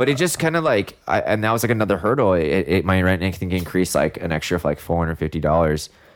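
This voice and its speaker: A man with an American accent and a very deep, low pitch talks at a very fast pace with hardly any pauses and lively intonation, on a very clean recording with a silent background. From Northern California. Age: 30s. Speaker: hairstylist. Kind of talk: casual chat.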